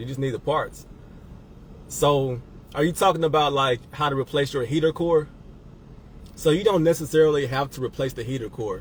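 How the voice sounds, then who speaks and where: With ordinary pitch variation, the somewhat breathy speech is broken by long, frequent pauses. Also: man, fairly high pitch for a man, moderate pace. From Mississippi. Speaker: car rental business owner and coach. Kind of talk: livestream Q&A, casual. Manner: casual, halting with repetitions.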